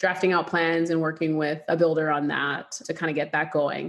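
Against a quiet background, a woman with a plain, everyday voice speaks at a fairly low pitch. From Canada. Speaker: real estate investor. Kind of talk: interview.

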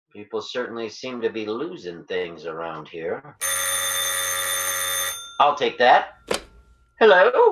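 In a put-on character voice, a man speaks at a slow pace with big pitch swings, long and frequent pauses, and audible room echo. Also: fairly low pitch for a man.

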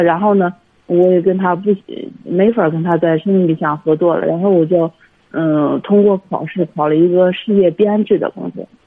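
A woman speaks at a moderate pace and a medium pitch, with ordinary pitch variation. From Hebei, China. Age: 30s. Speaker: caller. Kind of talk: phone-in advice call. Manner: halting, many fillers.

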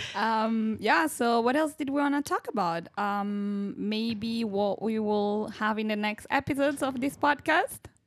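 A woman with an Italian accent talks at a fairly slow pace. Her pitch is fairly high, and she barely pauses. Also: ordinary pitch variation. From Italy. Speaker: medical student, student podcast co-host. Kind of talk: casual chat. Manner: hesitant, many fillers.

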